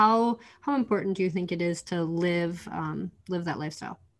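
The woman's fairly low voice shows ordinary pitch variation at a fairly quick pace. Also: hardly any pauses. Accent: Upper Midwest. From North Dakota. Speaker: podcast host and chiropractor. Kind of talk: casual interview chat.

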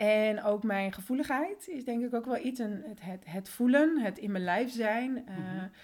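A woman speaks at a moderate pace with a plain, everyday voice. Her pitch variation is ordinary. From Netherlands, born in Colombia. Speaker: systemic coach. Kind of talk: casual interview.

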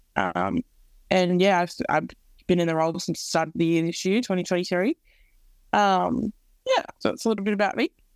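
Recorded very cleanly with a silent background and a dry, close sound with no echo, a woman with an Australian accent talks at a fairly quick pace with ordinary pitch variation and long, frequent pauses. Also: medium pitch for a woman. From Australia, Central West New South Wales. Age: 20s. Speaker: co-CEO of a mentoring nonprofit. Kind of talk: podcast interview.

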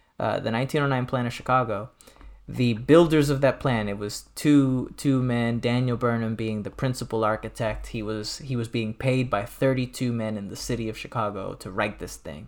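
With an unremarkable speaking voice, a man keeps a medium pitch and a moderate pace. His intonation stays fairly even. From US Midwest (Detroit). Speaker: nonprofit president and doctoral student. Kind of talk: casual chat.

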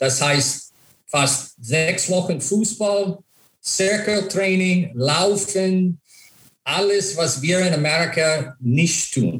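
Talking at a very slow pace with an English accent, a man uses a high pitch and ordinary pitch variation. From USA. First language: English (speaking German). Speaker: former ice hockey player and coach. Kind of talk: interview. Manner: halting, many fillers.

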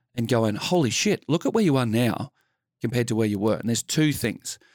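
With an Australian accent, a man talks at a fairly quick pace and medium pitch with ordinary pitch variation, recorded very cleanly against a silent background in a dry, close sound with no echo. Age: 50s. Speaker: former police officer and mental health speaker. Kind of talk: casual chat.

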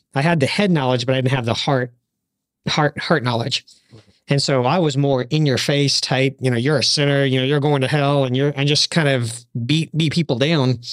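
A man with a plain, everyday voice, fairly high in pitch, at a moderate pace with fairly even intonation and very even loudness. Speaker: podcast panelist.

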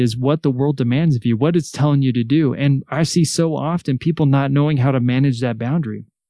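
A very fast-talking man in a Californian accent, with ordinary pitch variation. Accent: Californian American English. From Salinas, California. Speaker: author and educator. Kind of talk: interview.

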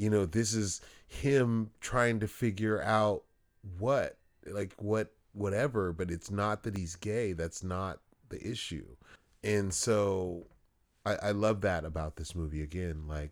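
A man's normal speaking voice with an American accent, fairly low-pitched with ordinary pitch variation, at a fairly slow pace on a very clean recording with a silent background. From Los Angeles, US. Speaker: podcast co-host. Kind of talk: casual chat.

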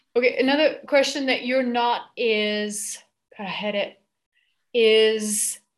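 Her pitch is high for a woman. She speaks at a very slow pace. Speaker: team facilitator. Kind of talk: group facilitation call. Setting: video call.

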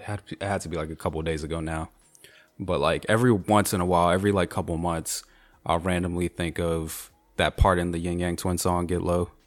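Over music in the background, a man talks at a very fast pace in a very deep, low, monotone voice with flat intonation. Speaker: podcast co-host, lawyer. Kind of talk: casual chat.

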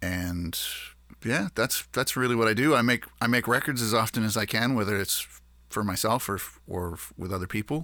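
With a Maritime Canadian accent, a man speaks at a moderate pace in a bright, sharp tone with ordinary pitch variation. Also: medium pitch for a man. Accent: Canadian (Maritimes). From Nova Scotia, Canada. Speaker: musician. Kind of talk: interview. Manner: halting.

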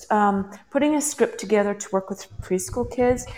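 An ordinary speaking voice is heard here. The pace is moderate. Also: woman. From western Canada. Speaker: parenting coach. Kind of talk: interview. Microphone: headphones, possible echo.

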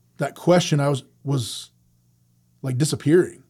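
A man speaks in a somewhat breathy voice with a dark, mellow tone and ordinary pitch variation. The recording is very clean with a silent background. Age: 40s. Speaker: ministry director. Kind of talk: interview. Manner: halting.

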